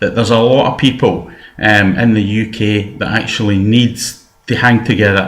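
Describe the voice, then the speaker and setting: A man's fairly low voice with a West of Scotland accent, ordinary pitch variation, moderate pace and audible room echo. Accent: Scottish (west, Paisley area). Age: 60s. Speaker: political activist. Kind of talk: personal video message. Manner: hesitant, many fillers.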